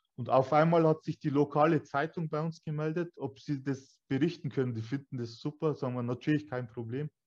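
Against a quiet background, a plain, everyday voice moves at a fairly quick pace with fairly even intonation and hardly any pauses. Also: man, fairly high pitch for a man. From Bavaria, Germany (Weiden, Upper Palatinate). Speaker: escape room owner. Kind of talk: interview. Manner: casual, colloquial.

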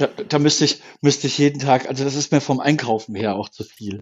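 With ordinary pitch variation, a man talks in a plain, everyday voice. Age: 50s. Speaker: camper van builder. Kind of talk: casual chat.

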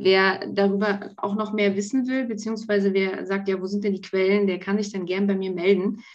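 A woman's medium-pitched, monotone, flat delivery at a moderate pace with hardly any pauses. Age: 40s. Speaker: pharmacy technician. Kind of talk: casual interview.

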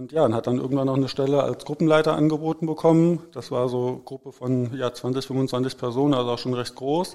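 A man's fairly high-pitched voice has a dark, mellow tone and fairly even intonation. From Hesse, Germany (Herborn). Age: 40s. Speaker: vocational training advisor. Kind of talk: casual interview.

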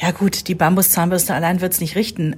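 A woman speaks in a somewhat breathy voice. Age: 40s. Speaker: podcast host, mother. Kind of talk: casual chat.

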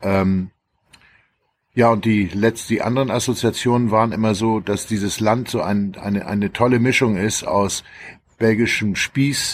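A man with an unremarkable speaking voice talks at medium pitch and a moderate pace with fairly even intonation, on a very clean recording with a silent background. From Schleswig-Holstein near Hamburg, northern Germany. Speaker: journalist and author. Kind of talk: casual chat.

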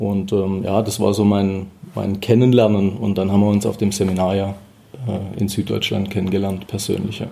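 A man talks at a moderate pace and a fairly low pitch. His tone is dark and mellow, his intonation monotone and flat. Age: 30s. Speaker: auditor and tax advisor. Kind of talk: interview. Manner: hesitant, repeats words.

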